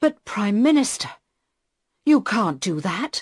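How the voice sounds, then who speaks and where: Putting on a raspy character voice, a woman speaks at a fairly slow pace and fairly high pitch with very wide pitch swings. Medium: read story. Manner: stiff, formal.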